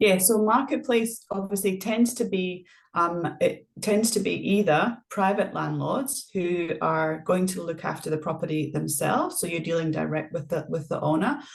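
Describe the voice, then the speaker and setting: Somewhat breathy and at medium pitch, a woman talks at a moderate pace with lively intonation. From Scotland. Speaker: property manager. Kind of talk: interview.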